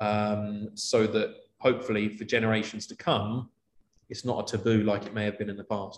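Big swings in loudness mark this man's fairly low, flat, monotone delivery with a London accent. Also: moderate pace. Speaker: corporate travel manager. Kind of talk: interview.

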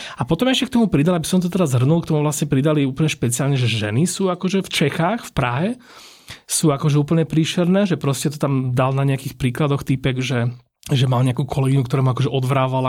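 A man with a fairly high pitch talks at a very fast pace, somewhat breathy, with ordinary pitch variation. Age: 30s. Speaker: food podcast host. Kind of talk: casual interview.

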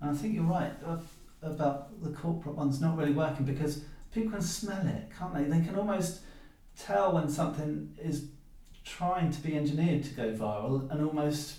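Over noticeable background noise, a man speaks at a moderate pace. His pitch is fairly high, with ordinary variation. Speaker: podcast host. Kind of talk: casual interview chat.

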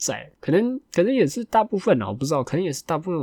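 In a very clean recording with a silent background, a man talks at a very fast pace with lively intonation and a somewhat breathy, dark, mellow tone. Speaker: podcast host. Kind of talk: casual solo chat.

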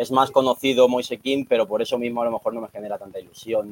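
A man with an unremarkable speaking voice at medium pitch, fairly even intonation, and a dry, close sound with no echo. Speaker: TikTok creator. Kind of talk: casual chat.

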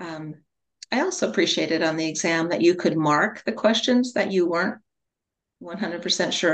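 An unremarkable speaking voice from a woman, fairly low in pitch, with lively intonation at a moderate pace. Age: 60s. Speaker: holistic nutrition counselor. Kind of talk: interview.

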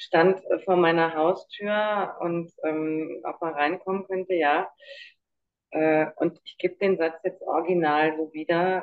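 A woman with a fairly low pitch and fairly even intonation has an ordinary speaking voice. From Munich, Bavaria. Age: 50s. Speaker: survivor of narcissistic abuse. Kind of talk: interview testimony.

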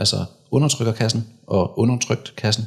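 A man at a moderate pace, medium in pitch, somewhat breathy, with ordinary pitch variation. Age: 30s. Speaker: men's rights activist and former soldier. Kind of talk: casual interview. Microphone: too far from the mic.

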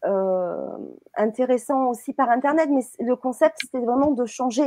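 A woman speaks at a very slow pace and a high pitch. The sound is dry and close, with no echo. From southern France, Marseille and the Var. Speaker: web TV host. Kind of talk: casual chat. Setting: live stream.

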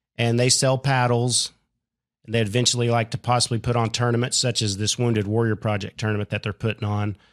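Recorded very cleanly against a silent background, a man with an American accent speaks very fast at medium pitch in a flat monotone. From Oklahoma. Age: 40s. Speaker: pickleball player. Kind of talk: interview.

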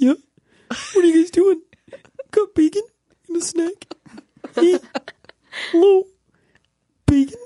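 In a put-on character voice with an extremely high pitch, the speaker keeps a moderate pace and leaves long, frequent pauses. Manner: goofy, cheerful.

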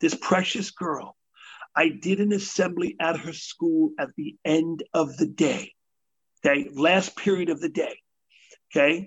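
Speaking at a fairly slow pace with long, frequent pauses, a man with a New York accent keeps an animated tone. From New York City. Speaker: motivational speaker. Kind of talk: interview.

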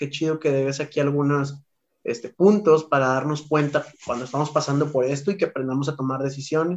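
A man is talking here, and his pitch runs fairly high. His speech moves along rather briskly. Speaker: podcast co-host, teacher. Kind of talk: casual chat.

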